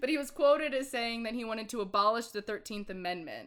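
Talking at a very fast pace, a woman uses lively intonation in a fairly high voice. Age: 20s. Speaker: podcast co-host. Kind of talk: casual chat. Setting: video call.

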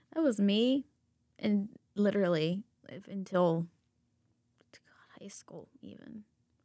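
A woman with an American accent speaks at a medium pitch with a dark, mellow tone and lively intonation. Her pace is very slow, with long, frequent pauses and big swings in loudness. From US South. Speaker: podcast co-host, education student. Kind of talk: casual chat.

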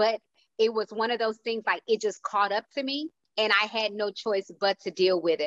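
This is an ordinary speaking voice, a woman's, fairly high in pitch with ordinary pitch variation. She talks at a moderate pace, and the sound is dry and close with no echo. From Houston, Texas. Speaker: motivational speaker and speaker coach. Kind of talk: casual panel discussion.

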